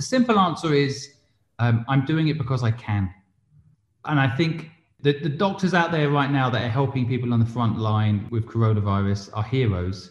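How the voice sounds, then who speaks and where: Against a quiet background, a man speaks at a moderate pace with lively intonation and a somewhat breathy voice. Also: medium pitch for a man. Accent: English. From England. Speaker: entrepreneur and investor. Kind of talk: interview.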